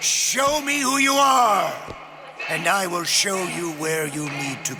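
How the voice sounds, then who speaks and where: A man's cartoonish character voice, high-pitched, raised and projected, at a fairly slow pace over clear background noise. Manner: theatrical, grandiose.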